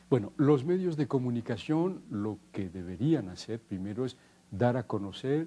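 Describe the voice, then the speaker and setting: The man talks at a fairly slow pace. His tone is dark and mellow. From French Basque Country. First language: Basque (speaking Spanish). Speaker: linguist. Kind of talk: interview. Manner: halting, with frequent repetitions.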